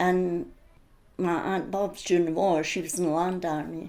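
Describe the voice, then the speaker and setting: A woman with an Edinburgh accent, fairly low in pitch, dark and mellow in tone, fairly slow and fairly even in intonation, with audible room echo. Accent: Scottish (Edinburgh). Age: 80s+. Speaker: interviewee sharing childhood memories. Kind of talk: oral history interview.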